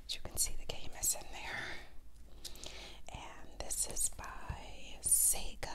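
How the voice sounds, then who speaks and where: At a very slow pace, the woman whispers her words. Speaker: ASMR creator. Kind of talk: casual show-and-tell talk to camera. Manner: whispered, soft.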